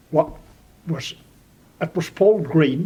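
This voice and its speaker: Pitched fairly high, a man with a Donegal accent speaks with ordinary pitch variation. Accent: Donegal Irish. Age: 80s+. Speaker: local elder. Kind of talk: oral history interview. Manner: halting.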